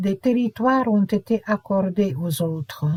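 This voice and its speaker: In a Hungarian accent, a woman speaks very slowly with a fairly high pitch, a dark, mellow tone and somewhat breathy delivery, recorded dry and close with no echo on a very clean track with a silent background. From Romania, Hungarian minority (Partium region). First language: Hungarian (speaking French). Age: 70s. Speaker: memoir narrator. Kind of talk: autobiographical narration.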